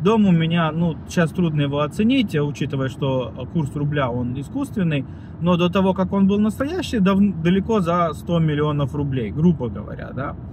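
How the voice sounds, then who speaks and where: Fairly high male voice amid noticeable background noise. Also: moderate pace, dry sound with no echo. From Russia, Voronezh; Russia. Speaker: video blogger; vlogger. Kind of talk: vlog monologue; casual vlog chat, political opinion. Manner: halting, many fillers. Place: car. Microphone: phone near.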